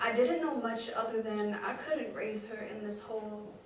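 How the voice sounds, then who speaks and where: Against noticeable background noise, a woman with a fairly high pitch speaks at a moderate pace in monotone, flat intonation. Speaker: spoken word poet. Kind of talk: spoken word performance. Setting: live theatre stage.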